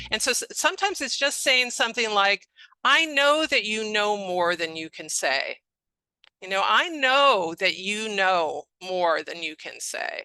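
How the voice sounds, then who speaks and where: A woman speaks at a fairly slow pace in a fairly high pitch with a bright, sharp tone. Her pitch swings very widely, and her loudness shifts a lot. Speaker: speech-language pathologist. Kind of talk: webinar lecture. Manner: expressive intonation.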